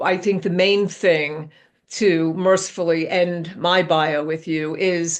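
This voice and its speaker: Speaking very slowly, a woman with a New York accent uses a fairly low pitch and a monotone, flat intonation. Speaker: business author and executive. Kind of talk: podcast interview. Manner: halting.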